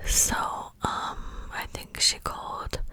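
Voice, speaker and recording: A woman is whispering amid noticeable background noise. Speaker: ASMR creator. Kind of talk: whispered ASMR storytime. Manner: whispered, soft, relaxing.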